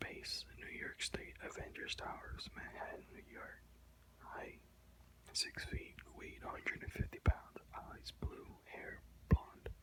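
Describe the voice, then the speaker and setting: Very slow whispering. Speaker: ASMR video creator reading aloud. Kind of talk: ASMR reading aloud from an encyclopedia with casual asides. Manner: whispered, soft-spoken.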